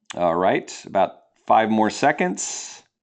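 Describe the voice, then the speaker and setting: A man with an American accent, speaking at a fairly slow pace over a quiet background. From New Jersey. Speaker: nonprofit founder and personal finance educator. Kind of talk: educational webinar presentation. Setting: webinar, broadcast online.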